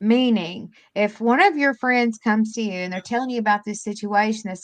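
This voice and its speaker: Against a quiet background, the speaker goes at a moderate pace. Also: woman. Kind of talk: casual chat. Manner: soft-spoken.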